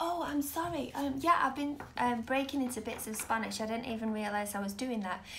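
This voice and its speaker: A woman with a Mancunian accent speaks in a high pitch with ordinary variation. Room echo is audible around her voice. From Manchester, northern England. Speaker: tarot reader. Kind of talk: live stream tarot reading. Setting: live video stream. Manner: casual, hesitant with fillers.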